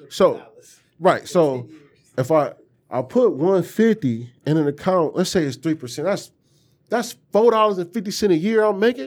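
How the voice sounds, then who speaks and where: A man speaks with a high pitch and lively intonation. He leaves long, frequent pauses. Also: moderate pace. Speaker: podcast co-host. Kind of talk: casual chat.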